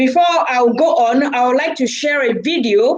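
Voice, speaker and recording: A woman with a Nigerian accent speaks at a high pitch with ordinary pitch variation. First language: Igbo. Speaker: charity organiser, live-stream host. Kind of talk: live stream talk. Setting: live video stream.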